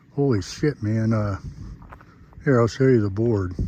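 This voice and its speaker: Noticeable background noise sits behind a man speaking at a medium pitch with ordinary pitch variation. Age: 60s. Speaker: camping vlogger. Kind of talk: casual vlog narration. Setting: outdoors. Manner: hesitant, many fillers.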